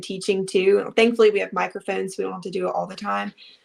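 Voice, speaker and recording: A woman talks with a Southern US accent. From US South, Alabama. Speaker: teacher and fitness coach. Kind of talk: casual chat.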